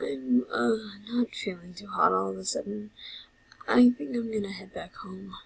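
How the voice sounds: A put-on character voice carries a husky, rough edge and vocal fry. It moves at a moderate pace with ordinary pitch variation. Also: woman, medium pitch for a woman.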